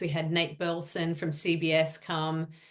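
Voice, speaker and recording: A woman's fairly low voice with a slight Australian accent. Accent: Australian accent, she thinks it slight. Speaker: sports media executive. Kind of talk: interview.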